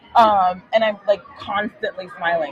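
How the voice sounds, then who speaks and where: A woman speaks at a fairly slow pace in a medium pitch with a bubbly, animated tone, while crowd noise carries in the background. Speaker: podcast host and veterinarian. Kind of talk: interview. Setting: live at a conference, noisy surroundings.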